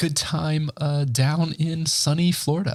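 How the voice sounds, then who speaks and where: This man talks in a somewhat breathy voice that sits fairly high in pitch. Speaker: podcast host. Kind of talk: casual solo podcast talk. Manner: casual, halting with fillers.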